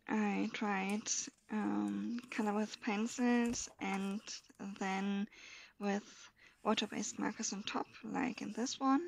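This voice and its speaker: At a very slow pace with long, frequent pauses, a woman speaks at a medium pitch. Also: fairly even intonation. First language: German. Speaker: coloring hobbyist video creator. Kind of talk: casual show-and-tell. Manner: halting, with many fillers.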